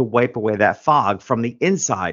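Speaking at a moderate pace is a man. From New York. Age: 50s. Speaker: author and business coach. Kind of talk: interview.

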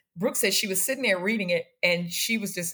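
At a fairly quick pace, a woman with an American accent speaks at a medium pitch with ordinary pitch variation. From Washington, D.C. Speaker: podcast guest, host's mother. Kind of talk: casual chat.

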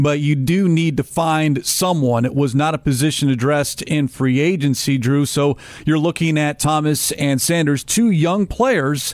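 The voice is an unremarkable speaking voice at a moderate pace, with ordinary pitch variation. Loudness stays very even, and there are hardly any pauses. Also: man, fairly high pitch for a man. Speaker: radio host. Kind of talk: casual sports talk. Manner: polished, professional.

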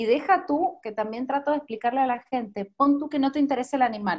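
A woman's voice with lively intonation. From Argentina, Mendoza. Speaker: journalist and marathon runner. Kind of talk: interview. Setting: video call.

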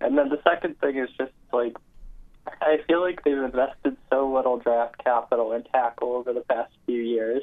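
This man uses a normal speaking voice, pitched medium. He keeps a moderate pace with fairly even intonation. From Toronto, Canada. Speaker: caller. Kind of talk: casual sports call-in. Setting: phone call.

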